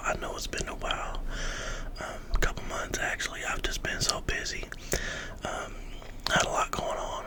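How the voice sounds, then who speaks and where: A man whispering with an American accent at a moderate pace amid noticeable background noise. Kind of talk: casual greeting and catch-up talk to camera. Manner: whispered, soft-spoken.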